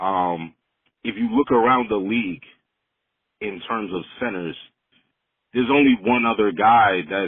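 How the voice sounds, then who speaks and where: A man with a New York accent, fairly low in pitch, at a fairly slow pace with long, frequent pauses. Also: ordinary pitch variation. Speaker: caller. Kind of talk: voicemail. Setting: phone voicemail.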